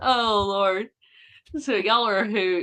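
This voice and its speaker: A woman's bright, sharp voice with a Southern accent against a quiet background. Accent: Southern, cornbread. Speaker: co-host of a Bigfoot podcast. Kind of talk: casual live-stream chat.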